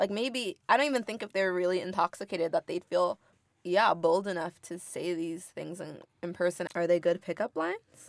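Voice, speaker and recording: This woman has a plain, everyday voice at a medium pitch, speaking at a moderate pace with an American accent and lively intonation. The recording is very clean with a silent background. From US, Inglewood, California. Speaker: university student and student government candidate. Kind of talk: casual chat. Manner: chatty, frequent fillers.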